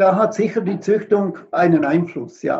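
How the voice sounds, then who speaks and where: A man's dark, mellow tone at a fairly slow pace. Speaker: veterinarian and animal homeopath. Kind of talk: interview. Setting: live video stream.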